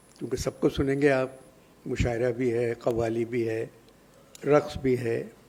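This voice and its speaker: Here is a man at medium pitch. His intonation is flat and monotone. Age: 80s+. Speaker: elderly literary figure at press conference. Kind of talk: press conference remarks. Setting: press conference.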